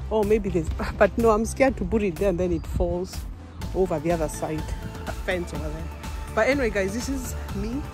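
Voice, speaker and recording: A woman speaks in a dry recording with no echo, clear music playing behind her. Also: fairly quick pace. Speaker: vlogger. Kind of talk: casual vlog chat. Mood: cheerful, laughing. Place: forest. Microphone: phone near.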